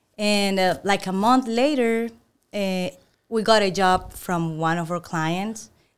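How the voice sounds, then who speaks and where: A woman with a Venezuelan accent speaks at a very slow pace in a medium pitch. Her pitch varies in an ordinary way on a very clean recording with a silent background. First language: Spanish. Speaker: employee of the month, former insurance agent. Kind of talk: casual interview.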